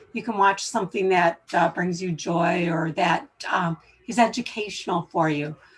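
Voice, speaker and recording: The speaker keeps a moderate pace and ordinary pitch variation while noticeable background noise carries on. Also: woman, fairly low pitch for a woman. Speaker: co-host of wellness talk. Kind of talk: casual wellness discussion. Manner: quiet, soft-spoken.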